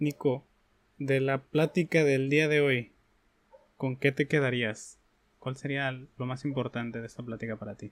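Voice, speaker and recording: With long, frequent pauses and big swings in loudness, a medium-pitched man speaks at a fairly slow pace with fairly even intonation, in dry, close sound with no echo and a very clean recording with a silent background. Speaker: podcast host. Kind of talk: interview. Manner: halting.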